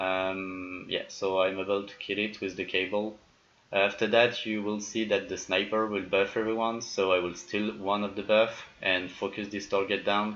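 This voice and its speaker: In a French accent, a man speaks at a moderate pace with a fairly low pitch. His intonation stays monotone and flat. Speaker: video game YouTuber. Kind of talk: gameplay commentary tutorial. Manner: hesitant, many fillers.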